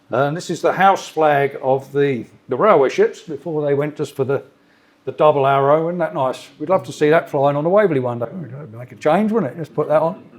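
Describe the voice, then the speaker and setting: A man with a southern English accent speaks at a fairly high pitch. His pace is fairly quick. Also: ordinary pitch variation. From south of England, Surrey. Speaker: freight train driver. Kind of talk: club talk with slides. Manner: casual, conversational.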